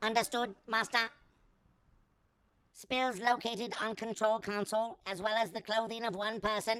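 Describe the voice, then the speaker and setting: In a put-on character voice, a female-sounding speaker with a fairly high pitch goes at a moderate pace, broken by long, frequent pauses. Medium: audio drama. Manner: monotone, droning.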